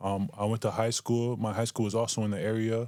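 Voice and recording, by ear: This man has a Canadian accent and a fairly low voice with a slightly mellow tone. He talks fairly quickly with little pitch movement.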